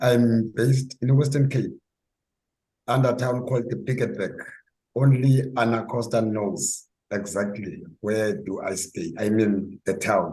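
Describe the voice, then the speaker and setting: With a dark, mellow tone and a somewhat breathy quality, a man speaks at a fairly slow pace in a medium pitch with ordinary pitch variation. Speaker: club member. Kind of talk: short personal introduction. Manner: halting.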